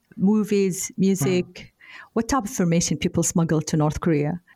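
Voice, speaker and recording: Spoken with an Arabic accent at a moderate pace. The voice is somewhat breathy. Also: woman. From Saudi Arabia. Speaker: podcast host, cybersecurity expert. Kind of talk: podcast interview.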